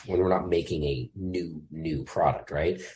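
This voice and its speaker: A somewhat breathy man's voice at a moderate pace. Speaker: firearms industry employee. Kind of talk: casual interview.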